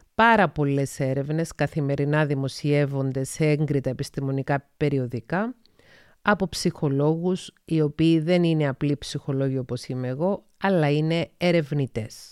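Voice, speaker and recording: Very deep and low for a woman, her voice is captured dry and close with no echo, in a very clean recording against a silent background. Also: ordinary pitch variation, fairly slow pace. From Cyprus (Paphos). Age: 40s. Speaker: psychologist and podcast host. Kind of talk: solo podcast monologue.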